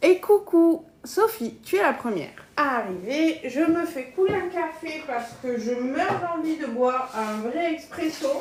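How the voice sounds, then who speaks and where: A woman at a very slow pace, very wide pitch swings and noticeable background noise. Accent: southern French. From southern France, Gard. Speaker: cooking live streamer, kitchen appliance demonstrator. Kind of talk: live cooking stream. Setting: at home. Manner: casual, chatty.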